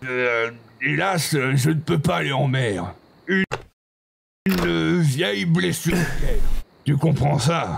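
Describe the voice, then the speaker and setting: Using a put-on character voice, a man speaks at a fairly slow pace in a fairly high pitch, with very wide pitch swings, very even loudness, and long, frequent pauses. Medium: machinima. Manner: melodramatic.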